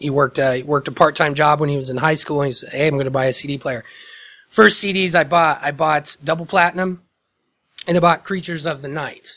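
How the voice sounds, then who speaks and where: Speaking with a Midwestern US accent, a man uses a fairly high pitch, a bright, sharp tone, fairly even intonation and a fairly quick pace. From Indiana, small town near Muncie. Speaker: podcast host. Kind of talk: casual chat.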